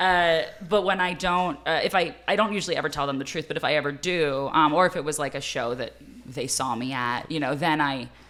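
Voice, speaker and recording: Raspy, very deep speech from a woman, fairly quick, with ordinary pitch variation. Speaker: stand-up comedian. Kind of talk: casual chat.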